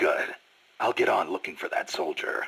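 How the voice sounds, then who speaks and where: A raspy, put-on character voice from a man at a moderate pace. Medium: video game. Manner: terse, dry.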